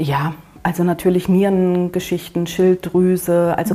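A woman speaks at a moderate pace and a fairly low pitch, with noticeable background noise behind her. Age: 50s. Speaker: cat-sitting agency owner. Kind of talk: interview.

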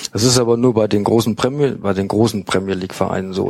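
This man talks at a fairly quick pace with fairly low pitch. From Münster, Westphalia. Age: 40s. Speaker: football fanzine writer. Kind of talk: casual chat. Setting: studio.

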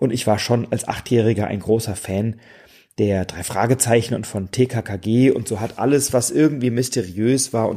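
A man speaks in a normal speaking voice at medium pitch and a moderate pace, with fairly even intonation. The recording is very clean, with a silent background. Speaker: board game podcaster. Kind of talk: solo podcast monologue. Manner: relaxed.

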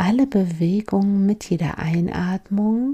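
Speaking at a very slow pace, a woman with a medium pitch and ordinary pitch variation uses a gentle, calm tone that is dark, mellow and somewhat breathy. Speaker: mindfulness coach and podcast host. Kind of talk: guided meditation. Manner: slow, calm, soothing; gentle, with long pauses.

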